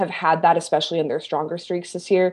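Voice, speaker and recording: A woman with an American accent talks at a very fast pace. Her voice sits fairly low, with a dark, mellow tone. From US Midwest, Kansas City. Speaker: sports journalist. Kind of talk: podcast interview. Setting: remote call.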